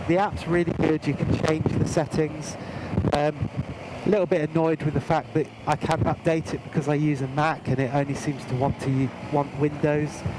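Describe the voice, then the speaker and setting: Over noticeable background noise, a man with a fairly high pitch speaks at a moderate pace. His loudness stays very even and his intonation fairly even. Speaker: motorcycle gear reviewer. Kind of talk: product review. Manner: hesitant, many fillers.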